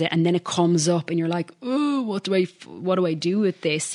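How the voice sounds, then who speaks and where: With an Irish accent, the speaker keeps a moderate pace. The background is quiet. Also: woman. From Ireland. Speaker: podcaster and life coach. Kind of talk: interview, personal testimony.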